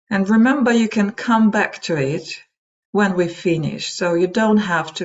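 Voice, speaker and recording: In a Russian accent, a woman speaks in a calm tone at a fairly slow pace. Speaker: meditation trainer and psychology practitioner. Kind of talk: webinar talk; guided meditation. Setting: online webinar. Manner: calm, slow guidance.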